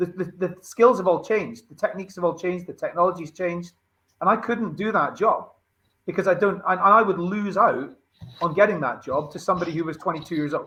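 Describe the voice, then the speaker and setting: A man speaks at a high pitch in a raised, projected voice. He talks very fast, with ordinary pitch variation. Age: 40s. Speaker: recruitment show co-host. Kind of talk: panel discussion.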